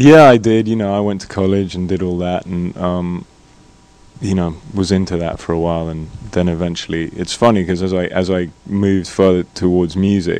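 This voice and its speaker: At a moderate pace, a man with a very deep, low pitch speaks with fairly even intonation over noticeable background noise. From Scotland. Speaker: singer-songwriter. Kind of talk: interview. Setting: studio. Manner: halting.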